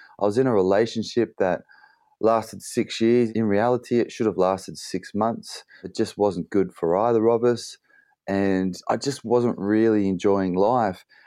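The voice has a dark, mellow tone, an Australian accent and fairly even intonation. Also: man, fairly low pitch for a man, moderate pace, quiet background. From Australia (Bathurst, NSW). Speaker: endurance athlete and motivational speaker. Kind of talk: casual interview chat. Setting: remote call from London.

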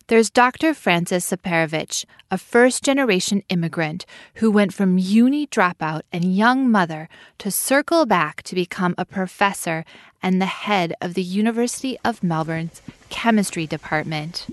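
Using a plain, everyday voice, a woman speaks at a moderate pace with a medium pitch and lively intonation. The sound is dry and close, with no echo. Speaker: podcast producer and host. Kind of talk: scripted podcast narration.

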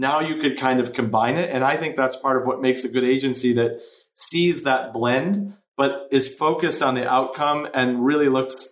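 Using an ordinary speaking voice, a man talks at a medium pitch. He keeps a moderate pace with ordinary pitch variation. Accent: American. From US Midwest, Chicago. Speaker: entrepreneur, marketing agency co-founder. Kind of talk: interview.

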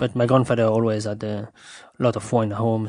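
A man with a French accent talks very fast at a medium pitch in monotone, flat intonation. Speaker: sommelier. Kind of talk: interview. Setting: host's home. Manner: halting, many fillers.

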